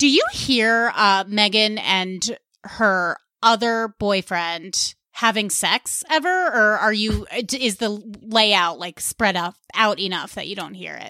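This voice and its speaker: Speaking very slowly with an American accent, a woman has a fairly high pitch and a bright, sharp tone. Her pitch varies in an ordinary way, her loudness swings widely, and the recording is very clean with a silent background. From US Northeast (Westchester County, New York). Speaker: stand-up comedian and podcaster. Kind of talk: casual chat.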